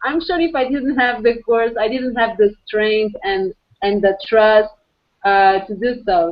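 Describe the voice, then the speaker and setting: Lively in intonation, a woman with a Portuguese accent speaks at a moderate pace and a fairly high pitch. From Portugal. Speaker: architect and entrepreneur. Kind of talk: video call discussion. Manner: halting.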